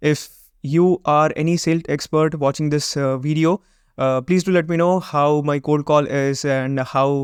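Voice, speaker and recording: A man with a Gujarati accent speaks in a monotone, flat intonation, recorded with a dry, close sound with no echo over a quiet background. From Gujarat, India. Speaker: web design and SEO agency owner, YouTuber. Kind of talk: vlog intro monologue, mixed Hindi and English.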